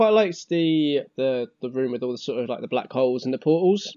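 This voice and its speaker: A man with an ordinary speaking voice, lively intonation and a fairly quick pace. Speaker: podcast co-host. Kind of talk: casual chat.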